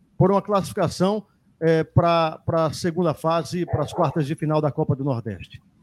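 At a moderate pace, a man talks with ordinary pitch variation in a very clean recording with a silent background and a dry, close sound with no echo. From Ceará interior, Brazil. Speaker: sports radio host. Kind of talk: sports talk show. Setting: studio, live radio and YouTube.

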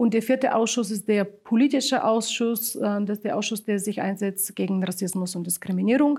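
A woman's somewhat breathy voice in a Bulgarian accent, medium in pitch with a dark, mellow tone, ordinary pitch variation, a moderate pace and hardly any pauses. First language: Bulgarian (speaking German). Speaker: local migrant council chair. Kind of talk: interview. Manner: hesitant, many filler sounds.

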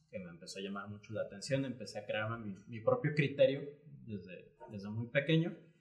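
A man's moderate pace is heard through noticeable background noise. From Panama, then Guadalajara, Mexico. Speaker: graphic artist and entrepreneur. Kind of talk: casual interview conversation.

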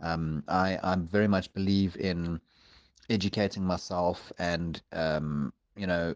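A man with a very deep, low pitch and monotone, flat intonation, over a quiet background. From South Africa. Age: 40s. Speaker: pagan community member. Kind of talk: interview. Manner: halting.

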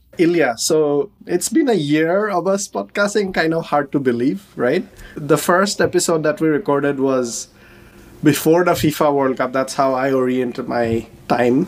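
A man talks at a moderate pace in a fairly high pitch, an ordinary speaking voice. His loudness stays very even. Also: lively intonation. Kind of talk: casual interview chat.

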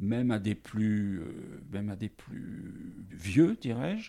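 In a very clean recording with a silent background, a man speaks with a fairly low pitch and a dark, mellow tone. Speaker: teacher and storyteller. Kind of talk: interview. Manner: varied intonation.

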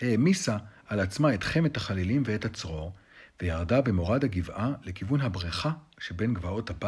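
The reading voice is unforced. Its intonation stays lively.

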